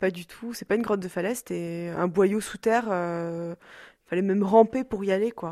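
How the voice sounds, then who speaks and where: In a very clean recording with a silent background, a woman speaks at a moderate pace in a medium pitch, her dark, mellow tone holding fairly even intonation while her loudness swings widely. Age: 20s. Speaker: daughter of an electro-sensitive woman. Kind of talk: interview testimony. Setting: rural hut below a mountain cave.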